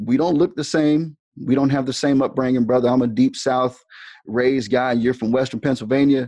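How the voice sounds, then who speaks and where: A man speaks a little quickly at a medium pitch, his tone dark and mellow and his intonation fairly even. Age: 40s. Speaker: school dean and band director. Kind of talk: interview conversation.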